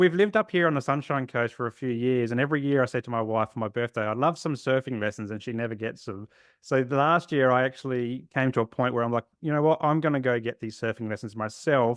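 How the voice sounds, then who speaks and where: Speaking very fast with hardly any pauses, a man with an Australian accent holds a medium pitch with ordinary pitch variation. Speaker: therapist. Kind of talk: podcast interview.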